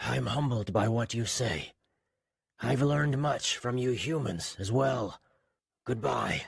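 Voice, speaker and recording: Using a put-on character voice, a man speaks raspy at medium pitch and a fairly slow pace with long, frequent pauses. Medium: read story.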